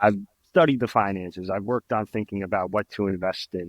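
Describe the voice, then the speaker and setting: A man talks at a fairly quick pace in an ordinary speaking voice, with ordinary pitch variation. The recording is dry and close with no echo, over a quiet background. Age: 30s. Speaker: trumpet player. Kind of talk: casual chat.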